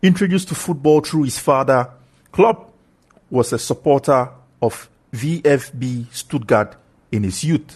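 Somewhat breathy and fairly slow, the voice has lively intonation broken by long, frequent pauses. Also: man, fairly high pitch for a man. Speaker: podcast host. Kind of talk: scripted narration, sports podcast. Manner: enthusiastic, formal.

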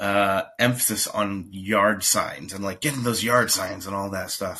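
This man's fairly low voice has a bright, sharp tone, moving at a moderate pace with fairly even intonation. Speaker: local political candidate. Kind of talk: casual chat. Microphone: new device.

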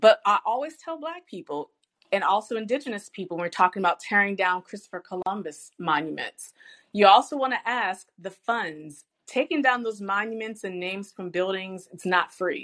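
With an American accent, a woman in a plain, everyday voice speaks at a medium pitch and moderate pace, her intonation lively and her loudness swinging widely, in a dry, close sound with no echo over a quiet background. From US South, Richmond, Virginia. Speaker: professor and business owner. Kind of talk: interview.

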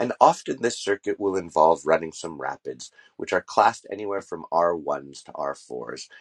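Recorded dry and close with no echo against a quiet background, a man speaks at a moderate pace with a very deep, low pitch and vocal fry. His intonation is lively, and his loudness swings widely. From Montreal, Quebec. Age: 40s. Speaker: travel podcast host. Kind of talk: solo travel monologue. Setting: camper in forest.

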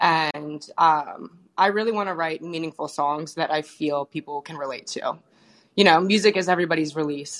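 A woman with an American accent and a very deep, low pitch speaks over a quiet background. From Maryland. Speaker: singer-songwriter. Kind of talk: interview.

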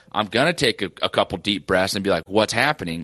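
Talking very fast in a bright, sharp tone, a man shows ordinary pitch variation in a dry, close sound with no echo. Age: 20s. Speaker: sports podcast co-host. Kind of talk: casual chat.

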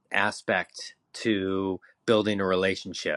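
With a Californian accent, a man speaks in fairly even intonation. The sound is dry and close, with no echo. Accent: Californian American. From California, San Diego. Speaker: marketing executive. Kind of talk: casual chat.

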